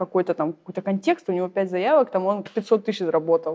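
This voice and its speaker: An ordinary speaking voice from a woman, medium in pitch, with ordinary pitch variation and a fairly quick pace. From Saint Petersburg, Russia. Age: young. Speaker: entrepreneur in funeral services. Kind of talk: casual interview.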